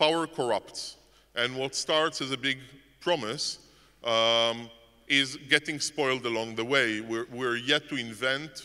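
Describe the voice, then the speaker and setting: A man's bright, sharp voice with a non-native accent, a fairly slow pace and ordinary pitch variation. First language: not English. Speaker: conference speaker. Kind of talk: conference talk. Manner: halting, many repetitions and fillers.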